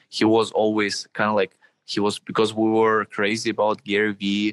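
In a very clean recording with a silent background, a man speaks with a Russian accent at a fairly low pitch. His moderate pace comes through dry and close with no echo. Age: 20s. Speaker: social media marketing entrepreneur. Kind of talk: interview.

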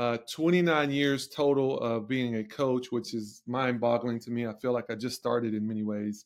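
With a Southern US accent, the speaker talks at a moderate pace with fairly even intonation. The recording is very clean, with a silent background. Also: man. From Tennessee, near Nashville. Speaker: strength and conditioning coach. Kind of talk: podcast interview.

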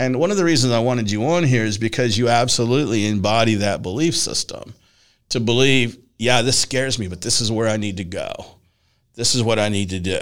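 A man's ordinary speaking voice at medium pitch, fairly quick in pace, with ordinary pitch variation. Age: 60s. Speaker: podcast host and personal development coach. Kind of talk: casual interview chat.

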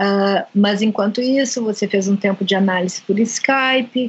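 Using a normal speaking voice, a woman talks at a fairly slow pace with a fairly high pitch and ordinary pitch variation. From Brazil. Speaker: podcast host, psychoanalyst. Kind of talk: interview.

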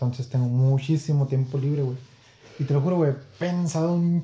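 This man has a fairly high pitch and a dark, mellow tone that is somewhat breathy. He keeps a moderate pace and fairly even intonation. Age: 20s. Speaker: podcast guest. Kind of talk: casual chat.

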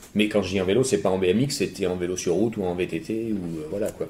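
A man speaks at a very fast pace. His voice is very deep and low, with a dark, mellow tone. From France, Bordeaux. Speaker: BMX rider and stunt performer. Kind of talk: casual interview. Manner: halting.

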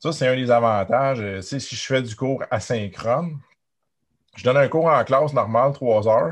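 A man's voice is heard. The pitch rises and falls in an ordinary way. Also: quiet background. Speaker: university lecturer. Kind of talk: interview.

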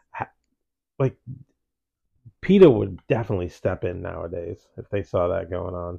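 A man with a very deep, low pitch speaks at a moderate pace, somewhat breathy, with ordinary pitch variation and big swings in loudness. Long, frequent pauses come through a dry, close sound with no echo and a quiet background. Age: 40s. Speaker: podcast host. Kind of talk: casual chat.

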